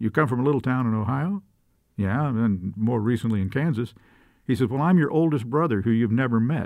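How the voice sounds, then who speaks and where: Over a silent background on a very clean recording, a man in an ordinary speaking voice talks at a fairly quick pace, medium in pitch with ordinary pitch variation. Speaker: professor and former TV news reporter. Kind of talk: casual interview chat.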